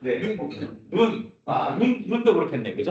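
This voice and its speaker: A man talks with very wide swings in pitch. Audible echo fills the room around him. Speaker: AI instructor. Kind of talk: lecture. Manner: fast.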